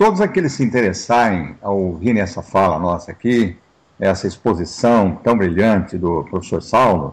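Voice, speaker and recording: A man talks at a moderate pace with a fairly low pitch. His pitch varies in an ordinary way, and he has a plain, everyday voice. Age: 60s. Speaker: pastor and interview host. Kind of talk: interview talk.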